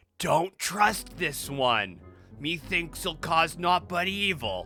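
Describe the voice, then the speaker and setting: A man puts on a high-pitched character voice and speaks at a very slow pace. Music plays in the background. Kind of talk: archaic, old-fashioned.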